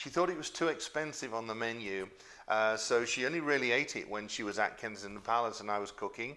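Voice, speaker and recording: A man talks at a very fast pace with medium pitch and ordinary pitch variation. His tone is bright and sharp. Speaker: former royal chef and YouTube cook. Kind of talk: casual Q&A to camera. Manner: conversational with many fillers.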